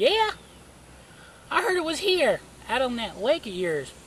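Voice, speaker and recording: A put-on character voice with a high pitch goes at a moderate pace against clear background noise. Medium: read story. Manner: confident.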